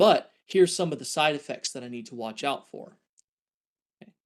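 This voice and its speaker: A man's fairly high-pitched, plain, everyday voice at a moderate pace. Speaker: scientist lecturer. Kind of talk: lecture.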